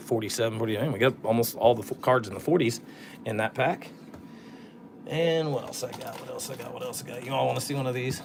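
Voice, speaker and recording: This man has an ordinary speaking voice at a medium pitch. His pitch variation is ordinary. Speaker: sports card collector opening packs. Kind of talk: casual live stream pack opening. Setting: live stream.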